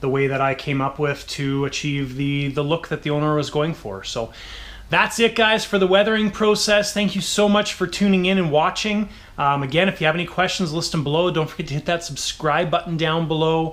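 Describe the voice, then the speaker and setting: A man with an unremarkable speaking voice and a fairly high pitch talks at a fairly quick pace with ordinary pitch variation. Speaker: RC model builder and channel host. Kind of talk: tutorial. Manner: casual with frequent fillers.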